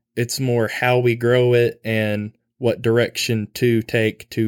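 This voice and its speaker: Speaking very slowly with an Arkansas accent, a man keeps his medium-pitched voice monotone and flat. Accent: Southern US (Arkansas). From Arkansas, US South. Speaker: university student and farm worker. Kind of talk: casual interview.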